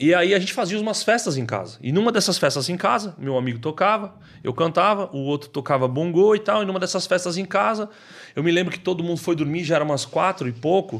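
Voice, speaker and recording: A man's high-pitched voice, very fast in pace and lively in intonation. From São Paulo outskirts, Brazil. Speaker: social missionary. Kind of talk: testimony. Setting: studio. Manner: casual slangy.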